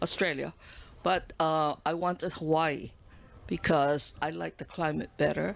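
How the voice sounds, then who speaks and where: A woman talks at a fairly slow pace with a very deep, low pitch and vocal fry. The recording is very clean, with a silent background. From Singapore. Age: 70s. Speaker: community leader. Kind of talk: podcast interview.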